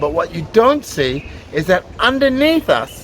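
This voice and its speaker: With noticeable background noise behind him, a man speaks at a fairly slow pace in an enthusiastic tone. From Australia. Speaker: tour guide. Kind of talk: guided tour narration.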